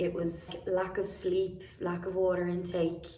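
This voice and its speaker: Someone speaks with an Irish accent over noticeable background noise. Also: woman. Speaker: vocal habilitation professional; singer. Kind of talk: casual talk to camera.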